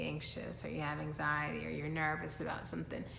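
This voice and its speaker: A woman speaks with vocal fry. Audible room echo can be heard. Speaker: lifestyle vlogger. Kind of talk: motivational talk to camera.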